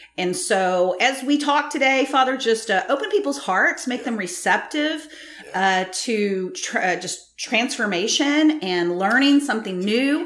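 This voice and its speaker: The voice swings very widely in pitch, moving at a fairly slow pace over noticeable background noise. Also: woman, high pitch for a woman. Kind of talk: prayer then interview.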